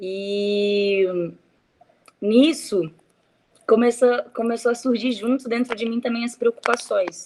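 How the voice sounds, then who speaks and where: Long pauses come often as the words unfold at a very slow pace. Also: woman, fairly high pitch for a woman. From Brazil, Brasília. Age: 20s. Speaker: actress. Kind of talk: interview. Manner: hesitant, many fillers.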